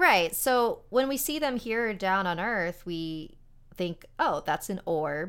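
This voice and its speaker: A woman at medium pitch speaks very slowly in an American accent, with very wide pitch swings. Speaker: paranormal podcast host. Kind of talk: casual interview.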